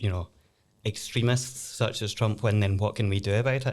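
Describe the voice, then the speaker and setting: Fairly low-voiced man with a Glaswegian accent, at a moderate pace, in a very clean recording over a silent background. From Scotland, Glasgow. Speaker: lawyer and law lecturer. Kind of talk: casual podcast discussion.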